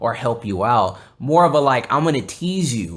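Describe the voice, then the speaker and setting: A man with a Texan accent and lively intonation, in a very clean recording with a silent background. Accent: Texan American English. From South Texas (Corpus Christi). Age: 20s. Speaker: podcast host. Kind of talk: casual chat. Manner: halting, many fillers and restarts.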